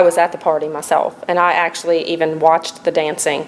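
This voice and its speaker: Over noticeable background noise, a woman with an American accent talks very fast in a fairly low, monotone, flat voice. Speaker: TV news anchor and reporter. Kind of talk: reporter package voice-over.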